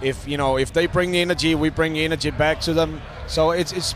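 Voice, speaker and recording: Talking at a fairly quick pace with fairly even intonation, a man with a fairly high pitch is heard over noticeable background noise. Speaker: rock musician. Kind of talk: interview. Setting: backstage at a music festival. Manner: hesitant, many fillers.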